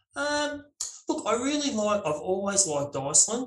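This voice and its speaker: A man speaks with an Australian accent at a moderate pace. His intonation is lively. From Australia, Melbourne. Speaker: landscape photographer. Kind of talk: casual interview.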